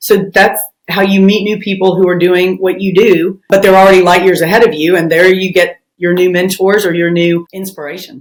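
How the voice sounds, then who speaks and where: With a strong Southern US accent, a woman talks at a fairly quick pace in a medium pitch with monotone, flat intonation. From US South, Memphis, Tennessee. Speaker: family lawyer. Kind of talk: interview.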